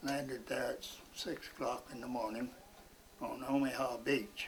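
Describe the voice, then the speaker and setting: A man talks at a very slow pace. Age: 80s+. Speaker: World War II veteran, Coast Guard. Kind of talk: interview answer. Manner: slow, halting storytelling.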